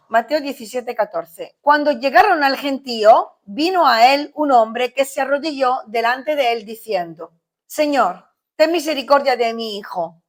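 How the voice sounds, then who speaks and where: Her pitch high with very wide swings, a woman speaks at a fairly slow pace. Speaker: pastor. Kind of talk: sermon.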